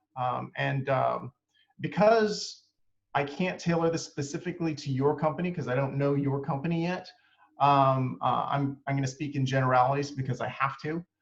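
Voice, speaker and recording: Fairly high-pitched and somewhat breathy, a man talks with ordinary pitch variation. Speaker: marketing agency owner presenting a webinar. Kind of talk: webinar presentation. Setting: online webinar. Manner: fast; many fillers, um and uh.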